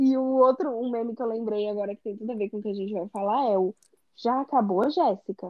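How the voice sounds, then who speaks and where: Talking at a very fast pace, a woman with a fairly high pitch and ordinary pitch variation shows big swings in loudness. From Brazil. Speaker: podcast co-host. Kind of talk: casual chat.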